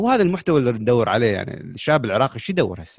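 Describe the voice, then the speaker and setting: The recording is very clean, its background silent. A man talks at a medium pitch. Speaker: podcast host. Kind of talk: casual chat.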